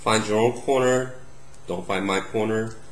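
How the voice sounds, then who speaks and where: A man speaks at a medium pitch. Audible room echo is present. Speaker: math tutor. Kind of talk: tutorial. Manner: casual, unscripted.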